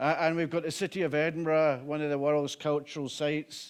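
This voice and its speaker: A man's fairly high voice with a Scottish accent. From Scotland, Glasgow. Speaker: violence reduction director, former police officer. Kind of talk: conference talk. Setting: conference with live interpreter. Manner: slow.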